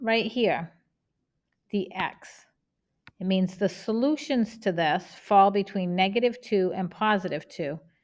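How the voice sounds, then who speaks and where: This woman speaks with a Boston accent at a medium pitch. Her pitch varies in an ordinary way. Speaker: math teacher. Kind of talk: tutorial.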